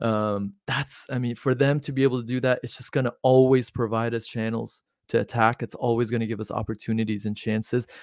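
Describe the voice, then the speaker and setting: A man speaks at a fairly quick pace in a medium pitch, with hardly any pauses and a flat, monotone delivery. The recording is very clean and dry, close-miked with no echo and a silent background. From Iran. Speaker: football podcast host. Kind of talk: casual chat.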